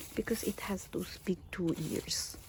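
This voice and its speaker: Noticeable background noise fills the clip. A woman is whispering. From Philippines. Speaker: gardening vlogger. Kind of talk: casual garden tour. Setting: outdoors in backyard. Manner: hesitant, many fillers; quiet.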